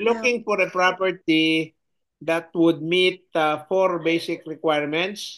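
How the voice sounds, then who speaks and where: Over a quiet background, a man talks at a fairly slow pace in a high voice, his intonation fairly even and his loudness very even. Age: 70s. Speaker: regenerative farmer. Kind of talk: interview answer.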